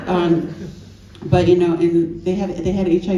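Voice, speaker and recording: A fairly quick woman's voice, fairly low in pitch, with an American accent and audible room echo. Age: 60s. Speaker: author and AIDS historian. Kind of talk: panel discussion. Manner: animated.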